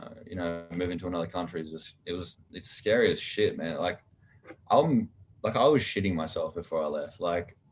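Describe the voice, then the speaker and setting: This man talks with an Australian accent. His pitch is very deep and low. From Australia, Canberra. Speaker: college football player. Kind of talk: casual chat.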